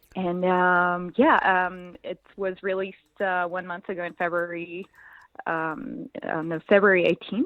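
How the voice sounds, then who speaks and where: In a French accent, a woman speaks at a medium pitch. Her pace is fairly slow and her intonation fairly even. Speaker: musician. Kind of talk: interview. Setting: phone call. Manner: hesitant, many fillers.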